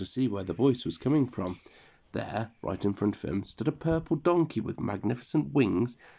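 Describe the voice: Someone reads a text out loud plainly. The pitch moves in a lively way.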